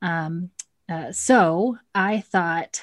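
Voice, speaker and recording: A woman talks with an American accent and ordinary pitch variation. The recording is very clean with a silent background. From Texas (Cedar Hill, near Dallas). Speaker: instructional coach, video coaching specialist. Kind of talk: interview.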